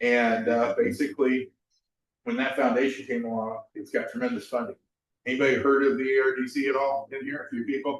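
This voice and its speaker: A man's normal speaking voice at medium pitch, fairly quick in pace and fairly even in intonation. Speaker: amateur radio presenter. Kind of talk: talk to a club audience.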